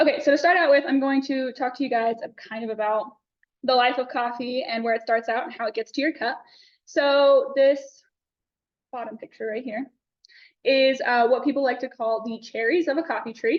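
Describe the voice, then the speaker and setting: A loud, high-pitched woman's voice with a Texan accent and ordinary pitch variation. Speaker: student presenter. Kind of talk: class presentation. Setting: classroom. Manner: fast.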